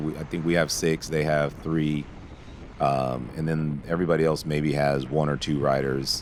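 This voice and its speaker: Amid noticeable background noise, a man with a very deep, low voice talks at a moderate pace. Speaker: cycling team manager and video commentator. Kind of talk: race video commentary. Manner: halting, frequent fillers.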